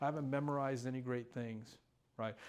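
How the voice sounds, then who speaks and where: A man with an ordinary speaking voice and medium pitch talks at a fairly quick pace in a very clean recording with a silent background. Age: 60s. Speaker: recovery speaker. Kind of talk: testimony.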